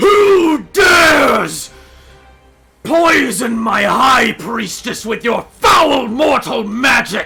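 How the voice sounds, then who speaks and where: A man shouts and bellows in a put-on character voice at an extremely high pitch and a very slow pace, with faint music in the background. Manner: wrathful, accusing.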